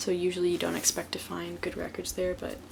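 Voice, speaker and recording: Someone soft-spoken talks at a moderate pace. There is noticeable background noise. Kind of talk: ASMR show and tell. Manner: soft-spoken, relaxing.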